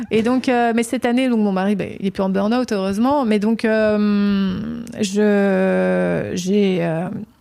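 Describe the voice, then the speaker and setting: With a strong Provençal accent, a woman speaks at a very slow pace with a medium pitch and fairly even intonation. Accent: southern French (Provence), strong. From Provence, southern France. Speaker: candle maker, small business owner. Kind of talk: interview. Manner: halting, many hesitations.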